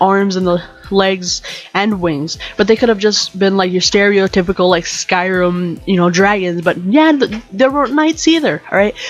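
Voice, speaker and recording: A woman at a moderate pace, with lively intonation and music in the background. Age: 20s. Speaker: podcast host. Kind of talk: casual rant podcast. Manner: animated.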